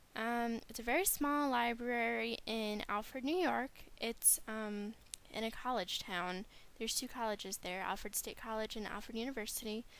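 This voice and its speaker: At a moderate pace, a woman talks in a plain, everyday voice, fairly high in pitch with ordinary pitch variation. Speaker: library science graduate student. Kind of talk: class presentation.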